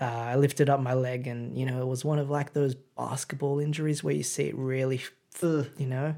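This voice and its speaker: With an Australian accent, a man speaks at a fairly quick pace and medium pitch, his dark, mellow tone set in a monotone, flat intonation. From Sydney, Australia. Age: 20s. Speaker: podcast guest. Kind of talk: casual chat.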